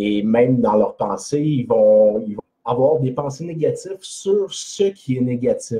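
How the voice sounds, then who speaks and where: In a Quebec accent, a man with a medium pitch speaks at a very slow pace. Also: lively intonation. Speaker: personal development blogger. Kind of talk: live video talk. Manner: hesitant, many fillers.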